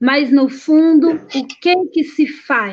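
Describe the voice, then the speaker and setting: Speaking very slowly with a São Paulo accent, a woman uses ordinary pitch variation. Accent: São Paulo Brazilian Portuguese. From São Paulo ABC region, Brazil. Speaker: singer and music teacher. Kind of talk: online panel debate.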